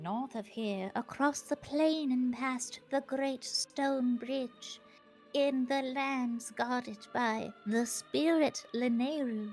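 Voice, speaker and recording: Over clear music in the background, a female-sounding voice in a put-on character style speaks very slowly at a high pitch. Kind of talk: archaic, prophetic. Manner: very slow, solemn.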